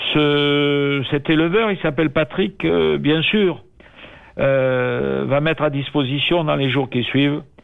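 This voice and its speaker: This man talks very slowly. His voice sits at a medium pitch. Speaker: culture radio show host. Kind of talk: casual chat. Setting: phone call. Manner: halting.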